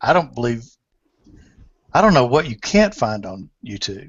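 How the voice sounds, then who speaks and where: This man has a medium pitch and an unremarkable speaking voice. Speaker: podcast host. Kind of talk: casual chat. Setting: video call.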